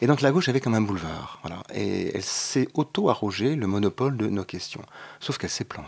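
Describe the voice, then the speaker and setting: A man of medium pitch speaks at a fairly quick pace with very wide pitch swings. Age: 50s. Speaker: LGBT parents association co-president. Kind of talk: radio panel discussion. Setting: radio studio. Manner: hesitant, many fillers.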